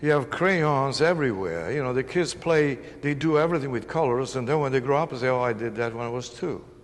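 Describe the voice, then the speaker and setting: With an Italian accent, a man speaks at a very fast pace and medium pitch, with ordinary pitch variation and audible room echo. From northern Italy. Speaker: painter. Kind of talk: interview.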